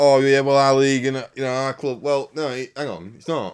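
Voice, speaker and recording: Here is an ordinary speaking voice. It moves at a fairly quick pace. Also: man. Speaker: racing podcast co-host. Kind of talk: casual banter podcast. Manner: chatty, informal.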